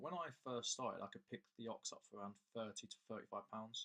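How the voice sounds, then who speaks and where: A man with an English accent, medium pitch and a bright, sharp tone at a fairly quick pace. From England. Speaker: coin dealer and collector. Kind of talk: casual video talk. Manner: casual, with repeated words.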